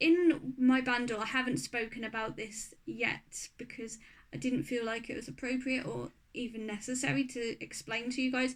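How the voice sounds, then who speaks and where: With a high pitch and ordinary pitch variation, a woman talks at a moderate pace. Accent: Norfolk. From Norfolk, England. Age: 30s. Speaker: craft and beauty YouTuber. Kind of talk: casual talk to camera.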